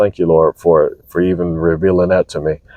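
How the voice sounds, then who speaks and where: A quiet man at a fairly quick pace. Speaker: vlogger. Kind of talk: casual monologue. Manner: methodical.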